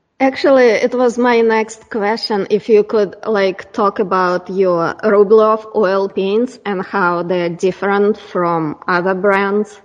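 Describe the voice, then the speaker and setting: At a very slow pace, a woman of medium pitch speaks with fairly even intonation and hardly any pauses. Background noise is noticeable. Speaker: podcast host and artist. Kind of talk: interview. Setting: video call.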